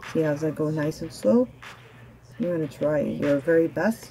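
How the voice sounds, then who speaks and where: A woman speaks with a very deep, low pitch at a moderate pace. Light background noise can be heard. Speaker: fitness instructor. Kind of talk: workout instruction. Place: garage. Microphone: camera far.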